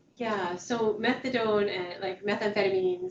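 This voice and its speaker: A woman's medium-pitched voice with fairly even intonation amid noticeable background noise. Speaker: outreach worker and trainer. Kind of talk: training session. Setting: meeting room, also on video call.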